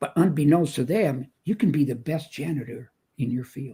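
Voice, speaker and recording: This man's voice is fairly high in pitch, somewhat breathy and dark and mellow in tone, with lively intonation. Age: 70s. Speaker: motivational speaker. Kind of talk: interview. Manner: animated.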